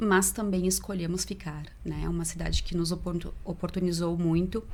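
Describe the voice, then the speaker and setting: A woman talks at a moderate pace, and room echo is audible. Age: 30s. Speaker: volunteer and event co-organizer. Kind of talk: podcast interview.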